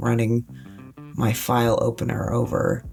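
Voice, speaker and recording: The tone is relaxed. Music plays in the background. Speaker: author. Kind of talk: casual narrated flip-through ramble. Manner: relaxed, rambling.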